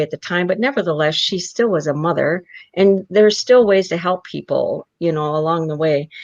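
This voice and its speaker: This is an unremarkable speaking voice with lively intonation. The pace is moderate. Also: woman. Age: 60s. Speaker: adoptee advocate. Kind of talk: interview.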